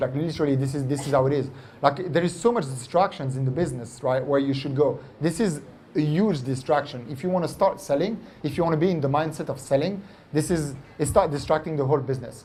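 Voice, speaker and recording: A man speaks very fast in a French accent, his pitch fairly high and his tone dark and mellow. The voice is somewhat breathy, with audible room echo. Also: ordinary pitch variation. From France. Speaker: entrepreneur. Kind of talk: onstage interview. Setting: stage with audience. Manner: animated.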